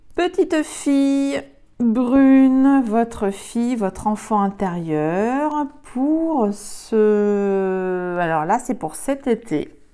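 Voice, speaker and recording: With music in the background, a woman talks very slowly at a fairly high pitch, swinging very widely up and down. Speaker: tarot card reader. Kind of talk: tarot reading. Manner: halting, many fillers.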